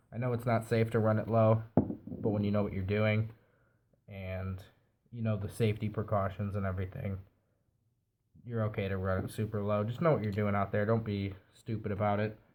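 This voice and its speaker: Speaking at a fairly quick pace, a man delivers his lines in a monotone, flat intonation and a fairly low pitch on a very clean recording with a silent background. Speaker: vape product reviewer. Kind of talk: product review tutorial. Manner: casual, conversational.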